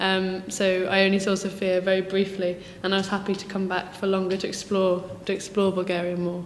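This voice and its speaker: A woman with a southern English accent talks at a fairly quick pace, her pitch medium and her intonation monotone and flat. Audible room echo and noticeable background noise surround her voice. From southern England, near Brighton. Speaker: teaching assistant. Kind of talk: interview. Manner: hesitant, many fillers.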